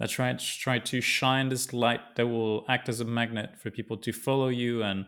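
A man's medium-pitched voice with a French accent, monotone, flat intonation and a moderate pace on a very clean recording with a silent background. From southern France. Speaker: podcast host. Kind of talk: interview.

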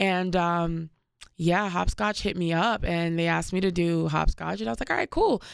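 A normal speaking voice with ordinary pitch variation and a moderate pace, very cleanly recorded against a silent background. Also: woman, fairly low pitch for a woman. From Washington, D.C. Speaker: musician. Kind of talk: interview.

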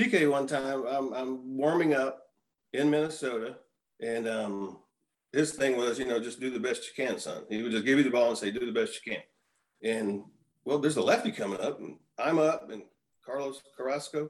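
In a normal speaking voice, a man with a medium pitch talks at a moderate pace with ordinary pitch variation. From Texas, Houston. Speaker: retired baseball pitcher. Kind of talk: casual chat.

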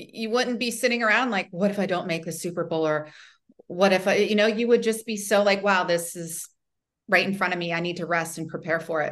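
An unremarkable speaking voice, pitch shifting normally, goes along at a fairly brisk clip. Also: woman, medium pitch for a woman. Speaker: model, author, TV personality and coach. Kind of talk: interview, warm conversation. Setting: video call.

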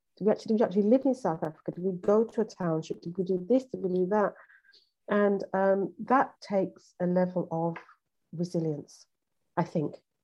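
A woman with a British accent talks at a fairly quick pace, her medium-pitched voice dark and mellow in tone with ordinary pitch variation. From UK. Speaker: relationship coach and therapist. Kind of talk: podcast interview. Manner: halting, many fillers and repetitions.

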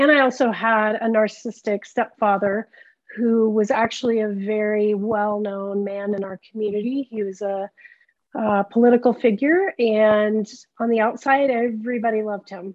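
Speaking at a moderate pace, a woman has a plain, everyday voice with a fairly high pitch and fairly even intonation. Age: 50s. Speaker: trauma therapist. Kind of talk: interview.

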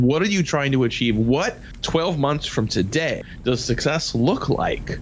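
Noticeable background noise accompanies the recording. A man speaks with ordinary pitch variation. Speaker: sales radio show host. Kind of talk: casual chat. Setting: his office.

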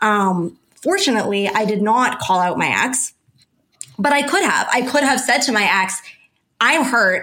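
A woman uses a normal speaking voice at a fairly high pitch. Her intonation is lively and her loudness very even. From Canada. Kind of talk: interview conversation.

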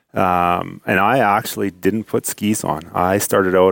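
Over a very clean recording with a silent background, a man with a Canadian accent speaks in a very deep, low voice with fairly even intonation. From central Alberta, Canada. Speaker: mountain guide. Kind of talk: interview.

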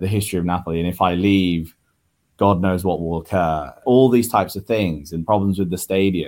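A man with a very deep, low pitch talks at a moderate pace in a very clean recording, the background silent. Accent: British. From Italy, left at age five. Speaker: football fan. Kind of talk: casual interview.

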